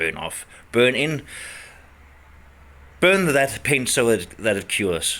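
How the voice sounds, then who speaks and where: A man with a medium-pitched, bright and sharp voice carrying vocal fry speaks at a very slow pace, his pitch swinging very widely between long, frequent pauses. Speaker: DIY restorer, garage video maker. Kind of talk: casual workshop narration. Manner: mumbling, halting.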